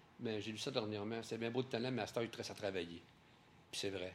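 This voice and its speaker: The speaker is a man with a Quebec accent. His pitch is fairly low. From Quebec, Trois-Rivières. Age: 60s. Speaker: painter. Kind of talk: interview. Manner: halting, with repetitions.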